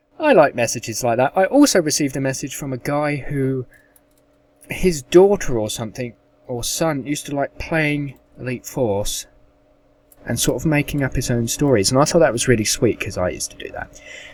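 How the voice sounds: A man speaks at a medium pitch with lively intonation. His tone is slightly mellow and his pace moderate.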